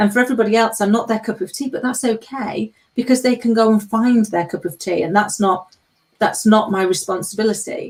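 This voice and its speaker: With an English accent, a woman speaks with fairly even intonation. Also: fairly high pitch for a woman, fairly quick pace. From England. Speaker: panel co-host. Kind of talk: live panel discussion.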